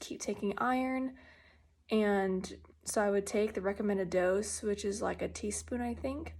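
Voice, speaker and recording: Soft-spoken and medium in pitch, a woman talks at a fairly slow pace with fairly even intonation on a very clean recording with a silent background. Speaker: patient sharing health journey. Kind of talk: personal video update. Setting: at home. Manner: quiet, soft-spoken; hesitant, many fillers.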